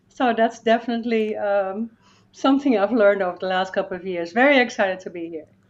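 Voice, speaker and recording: Speaking very fast with a Dutch accent, a woman at a medium pitch shows ordinary pitch variation and big swings in loudness. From Netherlands. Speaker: life coach and motivational speaker. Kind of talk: interview podcast conversation.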